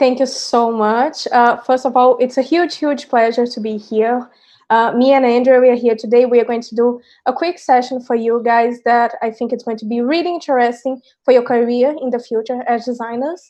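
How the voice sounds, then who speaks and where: In a Brazilian accent, a woman speaks at a moderate pace in a high voice with a dark, mellow tone and fairly even intonation against a quiet background. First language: Portuguese. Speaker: design teacher. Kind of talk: online workshop presentation.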